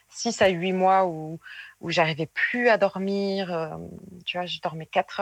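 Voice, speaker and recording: In a very clean recording with a silent background and a dry, close sound with no echo, a woman with a plain, everyday voice speaks at a fairly slow pace, her medium pitch held in fairly even intonation. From southwestern France, Périgueux. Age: 20s. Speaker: former nurse turned seamstress. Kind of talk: interview testimony.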